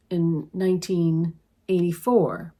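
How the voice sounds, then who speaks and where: Very slowly, a woman at a medium pitch speaks in a very clean recording with a silent background. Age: 60s. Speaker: tarot reader and transformational coach. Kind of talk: spiritual reflection monologue. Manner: halting.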